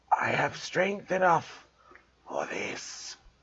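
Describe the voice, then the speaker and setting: A man's raspy, whispering, put-on character voice. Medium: read story. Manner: cold, menacing.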